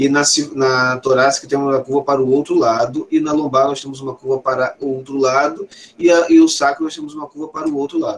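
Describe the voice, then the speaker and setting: This is a plain, everyday voice. A man speaks fairly quickly and fairly high, with fairly even intonation. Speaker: professor. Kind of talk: lecture.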